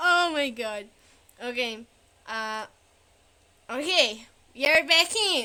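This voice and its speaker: In a non-native accent, the speaker uses a raised, projected voice with a bright, sharp tone, very wide pitch swings and a very slow pace. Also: woman. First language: not English. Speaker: streamer. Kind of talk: casual chat. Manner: halting.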